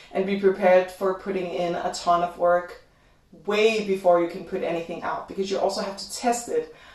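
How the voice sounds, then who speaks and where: Amid noticeable background noise, a woman speaks at a moderate pace and medium pitch. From Denmark. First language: Danish. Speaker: YouTuber. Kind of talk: livestream Q&A chat. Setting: home livestream.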